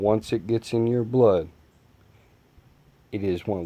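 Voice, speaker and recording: A fairly low-pitched male voice, moderately paced and fairly even in intonation. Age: 20s. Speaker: gaming youtuber and former truck driver. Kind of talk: gameplay commentary with personal talk. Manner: casual, conversational.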